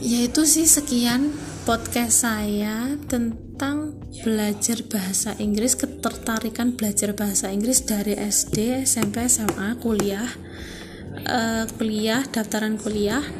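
A woman's fairly high voice at a very slow pace, with ordinary pitch variation, very even loudness and noticeable background noise. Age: 20s. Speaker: university student. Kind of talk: student podcast monologue. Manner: casual, informal.

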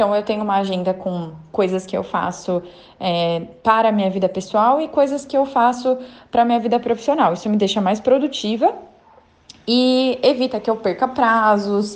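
A woman's normal speaking voice with fairly high pitch and ordinary pitch variation. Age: 20s. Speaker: economist, financial planner. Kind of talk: recorded testimony.

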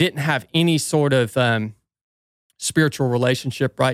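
Speaking with a Southern US accent, a man uses a medium pitch, ordinary pitch variation and a moderate pace on a very clean recording with a silent background and a dry, close sound with no echo. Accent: Southern US (Georgia). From US South, northwest Georgia. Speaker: former Navy SEAL and ultrarunner. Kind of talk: casual interview chat.

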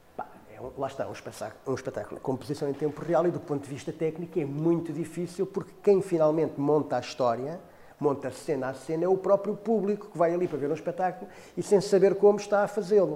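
A man speaks very fast in a high pitch, his tone dark and mellow, with ordinary pitch variation. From Portugal, Cacém near Lisbon. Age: 50s. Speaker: theatre artist and former journalist. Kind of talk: interview monologue. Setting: in front of a camera. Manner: halting, with many repetitions and fillers.

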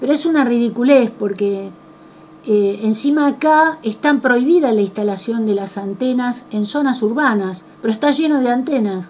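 A woman talks at a moderate pace with a high pitch and ordinary pitch variation. Noticeable background noise is present. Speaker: radio host. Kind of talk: radio interview.

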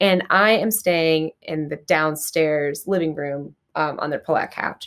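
A woman with an American accent speaks at a fairly slow pace with ordinary pitch variation. The recording is very clean, with a silent background. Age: 20s. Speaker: actor and podcast co-host. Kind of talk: casual chat. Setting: film festival, Las Vegas. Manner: loud.

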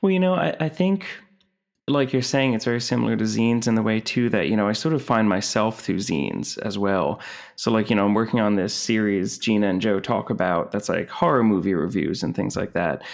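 With an American accent and an ordinary speaking voice, a man talks at a fairly quick pace in a fairly low pitch, his intonation lively and his loudness very even. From New Jersey. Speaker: zine publisher. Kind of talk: casual interview chat.

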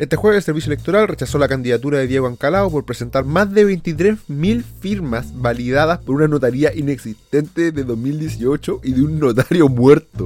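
With music in the background, a man with a Chilean accent speaks at a fairly high pitch and a moderate pace, his intonation lively. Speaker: podcast host. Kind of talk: angry rant. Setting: home studio.

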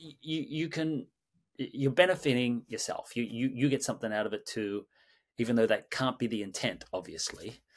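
On a very clean recording with a silent background, a man with an Australian accent speaks at a moderate pace and medium pitch with ordinary pitch variation. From Sydney, Australia. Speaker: mindfulness teacher and creative director. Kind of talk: guided meditation and interview answers. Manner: calm, hesitant with filler words.

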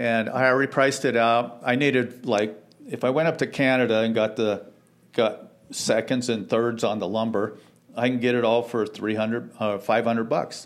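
A normal speaking voice at a moderate pace. The intonation stays fairly even. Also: man, medium pitch for a man. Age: 60s. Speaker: church member giving testimony. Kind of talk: testimony.

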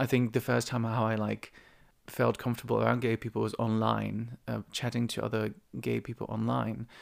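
A man talks at a moderate speed, recorded very cleanly against total silence. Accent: Dutch. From Netherlands. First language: Dutch. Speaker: podcast host. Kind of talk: casual monologue. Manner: halting.

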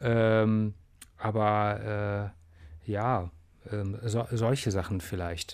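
This man talks at a very slow pace in a fairly low pitch. His intonation is monotone and flat, broken by long, frequent pauses. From Bonn, Germany, partly raised abroad. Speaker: musician. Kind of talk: interview. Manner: halting.

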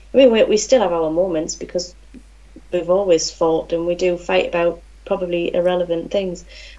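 A woman speaks in a Geordie accent. Her pace is fairly quick. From Newcastle, England. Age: 40s. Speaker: nurse. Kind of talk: casual interview.

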